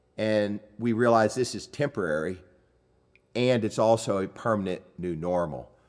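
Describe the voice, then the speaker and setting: A man with an ordinary speaking voice talks at a moderate pace, his fairly low pitch showing ordinary variation, in a very clean recording with a silent background. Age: 60s. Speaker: podcast host. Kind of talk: casual chat.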